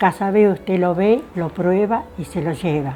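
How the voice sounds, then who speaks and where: A woman speaks at a medium pitch with music in the background. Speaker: interviewee recounting local family history. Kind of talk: casual interview answer.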